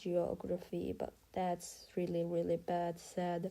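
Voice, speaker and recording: Her tone is dark and mellow, with a fairly low pitch. The woman talks at a very slow pace. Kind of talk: casual talk to camera. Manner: hesitant, many filler words.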